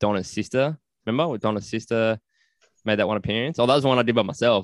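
A man's fairly low voice with an Australian accent, dry and close with no echo, over a quiet background. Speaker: podcast host. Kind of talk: casual chat.

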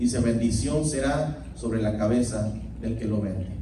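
A man speaks at a fairly slow pace with ordinary pitch variation. Room echo is audible, along with noticeable background noise. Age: 50s. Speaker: Bible teacher. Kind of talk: Bible study lecture. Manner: halting, frequent repetitions.

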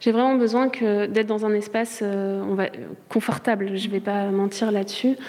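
Monotone, flat delivery at a moderate pace. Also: woman. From Charente-Maritime, France. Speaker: visual artist in residence. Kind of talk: interview.

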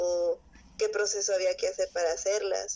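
A woman is speaking. She keeps a moderate pace. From Mexico, Monterrey. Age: 20s. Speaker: illustrator and comic artist. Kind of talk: interview.

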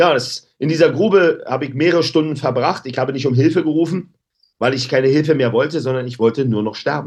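An animated tone with ordinary pitch variation against a quiet background. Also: man. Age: 50s. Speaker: anti-bullying activist. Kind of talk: interview. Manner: loud.

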